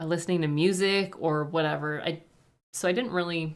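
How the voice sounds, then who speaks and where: Someone with a Canadian accent speaks at a moderate pace with fairly even intonation. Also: woman. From French Canada. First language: French. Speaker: reaction youtuber. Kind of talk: livestream Q&A. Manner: casual, hesitant with fillers.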